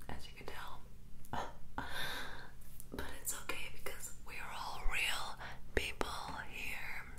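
Soft-spoken whispering comes at a very slow pace over loud background noise. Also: woman. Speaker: ASMR creator. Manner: soft close ASMR whisper. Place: bathroom.

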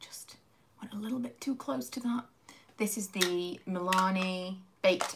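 A woman with a British accent speaks at a fairly slow pace and medium pitch, with ordinary pitch variation. Noticeable background noise can be heard. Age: 30s. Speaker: beauty YouTuber. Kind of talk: casual livestream chat while doing makeup. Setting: at home, live stream. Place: home room. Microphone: phone near.

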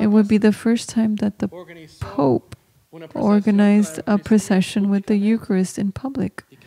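Light background noise behind a woman's moderate pace and ordinary pitch variation. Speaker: homily preacher. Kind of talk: homily at Mass. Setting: church during Mass. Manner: devout, earnest teaching tone; code-switching between English, Spanish and Latin. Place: church. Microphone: podium.

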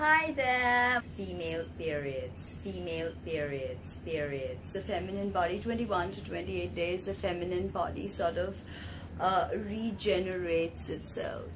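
Against noticeable background noise, a woman takes a fairly slow pace. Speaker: tarot reader and spiritual healer. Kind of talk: educational lecture.

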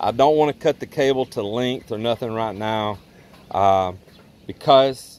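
With a plain, everyday voice, a man speaks at a fairly low pitch and a moderate pace, his intonation fairly even and the sound dry with no echo. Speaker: home builder vlogger. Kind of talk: tutorial. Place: open country. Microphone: phone near.

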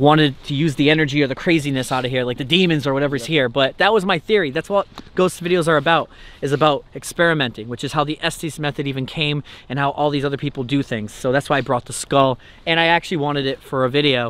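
A man at a very fast pace with ordinary pitch variation and a dry sound with no echo. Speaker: paranormal video host. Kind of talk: casual vlog chat. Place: open country.

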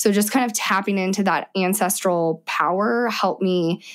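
A woman speaks in a normal speaking voice at a moderate pace, her pitch medium with ordinary variation. The recording is very clean, with a silent background. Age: 30s. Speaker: mother sharing birth stories. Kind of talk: interview testimony.

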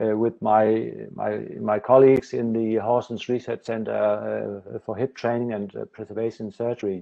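A man talks at a fairly slow pace in a flat, monotone way against a quiet background. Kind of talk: lecture. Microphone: video call.

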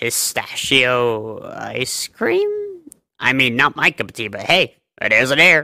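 The man puts on a character voice pitched in the medium range. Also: fairly slow pace. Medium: audio drama.

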